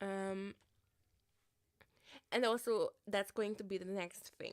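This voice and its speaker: On a very clean recording with a silent background, a woman with an Eastern European accent speaks at medium pitch and a fairly slow pace, with fairly even intonation. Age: 30s. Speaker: livestreamer. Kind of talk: casual livestream chat.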